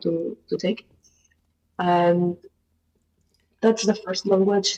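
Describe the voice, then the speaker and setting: With a dark, mellow tone, a woman talks at a fairly slow pace in a fairly low pitch. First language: Spanish. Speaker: researcher, language learner. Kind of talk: casual group conversation. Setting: online voice chat room on a language app. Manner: halting, hesitant.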